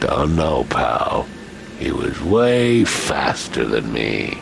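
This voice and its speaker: A man puts on a character voice and speaks at a very slow pace. Background noise comes through clearly. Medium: machinima. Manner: curt, gruff.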